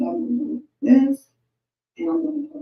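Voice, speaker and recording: With an American accent, a woman speaks at a moderate pace in a high, dark and mellow voice that makes very wide pitch swings. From Chicago. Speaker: online marketing coach. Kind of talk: tutorial.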